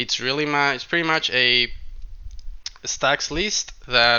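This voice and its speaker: At a moderate pace, a man speaks with a medium pitch and ordinary pitch variation. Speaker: card game content creator. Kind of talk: video intro narration. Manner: hesitant, many fillers.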